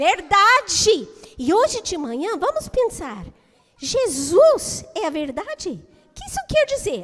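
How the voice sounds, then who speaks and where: A woman speaks at a very slow pace in an extremely high pitch. Her pitch swings very widely, and her loudness shifts in big swings. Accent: English. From United States. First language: English (speaking Portuguese). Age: 60s. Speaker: children's teacher. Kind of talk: children's talk in church service. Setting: church.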